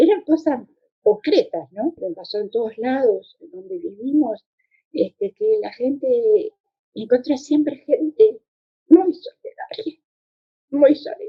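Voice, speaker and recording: Very slowly and with long, frequent pauses, a woman speaks at a high pitch with very wide pitch swings and big swings in loudness. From Uruguay. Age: 80s+. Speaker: former political exile. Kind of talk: testimony. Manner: halting.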